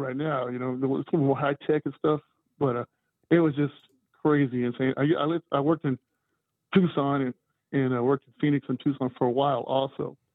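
A man with an American accent and a fairly high pitch talks at a fairly quick pace, broken by long, frequent pauses. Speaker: caller. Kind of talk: call-in talk. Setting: phone call.

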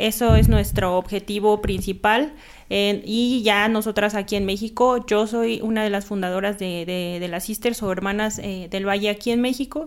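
A plain, everyday voice from a woman, medium in pitch, at a moderate pace with fairly even intonation and hardly any pauses. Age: 30s. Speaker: nun and cannabis legalization activist. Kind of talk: casual interview chat.

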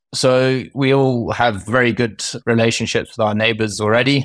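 At a moderate pace, a man with a medium pitch speaks in a flat monotone. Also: very clean recording, silent background. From Kenya. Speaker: wildlife conservancy manager. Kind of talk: interview. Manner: halting, many fillers and restarts.

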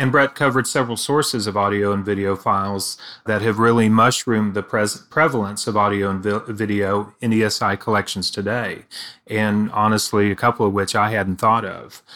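A man with a Texas accent speaks at a fairly quick pace, his pitch fairly low and his intonation fairly even. His tone is bright and sharp, on a very clean recording with a silent background. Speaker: eDiscovery author. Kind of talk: casual professional discussion.

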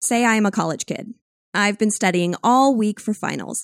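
Lively intonation marks a plain, everyday voice at a moderate pace, with a dry, close sound with no echo on a very clean recording against a silent background. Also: woman. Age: 30s. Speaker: podcast host and sound branding producer. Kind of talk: scripted narration.

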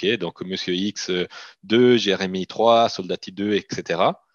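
Recorded dry and close with no echo over a quiet background, a man with a slight Italian accent speaks at a fairly low pitch with ordinary pitch variation. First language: Italian (speaking French). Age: 30s. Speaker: company CEO. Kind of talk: interview.

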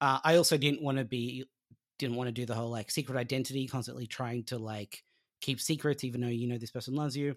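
A man at a very fast pace, medium pitch and fairly even intonation, on a very clean recording with a silent background. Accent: Australian. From Australia. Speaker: comic book writer. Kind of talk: interview.

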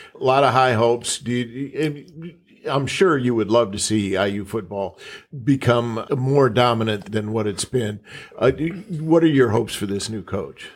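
Using an unremarkable speaking voice in an American accent, a man talks at a moderate pace and medium pitch with ordinary pitch variation. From Minnesota. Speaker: journalist co-interviewer. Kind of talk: interview.

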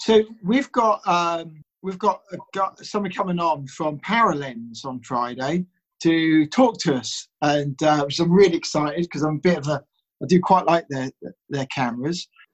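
Dry and close with no echo, a man's unremarkable speaking voice comes through at a fairly high pitch with lively intonation. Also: moderate pace. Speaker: podcast host. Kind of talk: casual podcast chat.

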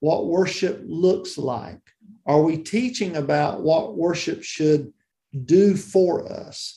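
Speaking with a Southern US accent at a very slow pace, a man has a high pitch, a dark, mellow tone and lively intonation. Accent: Southern US (Georgia). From US South, South Georgia. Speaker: church music and worship leader. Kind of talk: interview.

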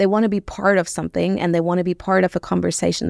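A woman speaks with a German accent on a very clean recording with a silent background. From Germany, Rhineland (Bonn). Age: 30s. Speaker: social media marketing strategist. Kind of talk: interview. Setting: studio.

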